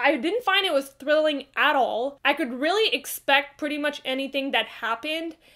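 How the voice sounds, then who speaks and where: A woman's raised, projected voice in a bright, sharp tone, at a moderate pace with hardly any pauses, over a quiet background. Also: ordinary pitch variation. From Quebec, Canada. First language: French. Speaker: book reviewer. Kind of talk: casual talk to camera. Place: home room.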